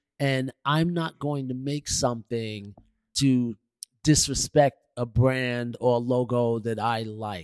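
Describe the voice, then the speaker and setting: A man with a New York accent speaks at a very slow pace and medium pitch. The sound is dry and close with no echo, and his intonation is fairly even. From New York City, Queens. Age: 60s. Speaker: visual artist and designer. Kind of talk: interview conversation.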